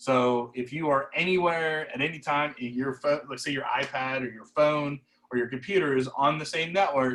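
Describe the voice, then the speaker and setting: Keeping his intonation fairly even, a man speaks at a fairly quick pace. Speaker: camera product specialist. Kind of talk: product demo over video call. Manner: fast; many fillers, um and uh.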